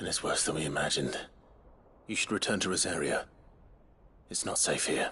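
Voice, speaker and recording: A man puts on a character voice at a very deep, low pitch. He talks at a fairly quick pace but with long, frequent pauses. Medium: video game. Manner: steady, controlled.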